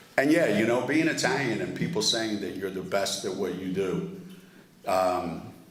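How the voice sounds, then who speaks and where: A man's voice swings very widely in pitch. Noticeable background noise and audible room echo surround him. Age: 70s. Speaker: award honoree speaker. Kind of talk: award dinner speech.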